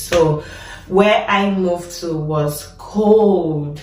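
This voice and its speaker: A woman speaks at a fairly low pitch with ordinary pitch variation. Music plays in the background, and room echo is audible. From Nigeria. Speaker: nurse and vlogger. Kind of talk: casual vlog talk.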